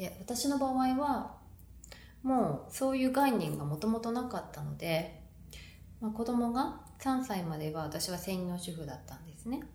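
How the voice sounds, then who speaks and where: Her pitch fairly high, a woman moves at a moderate pace with very wide pitch swings and big swings in loudness. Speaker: podcast host, mom entrepreneur and therapist. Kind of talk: solo podcast talk answering listener question. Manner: conversational, fillers, fluent.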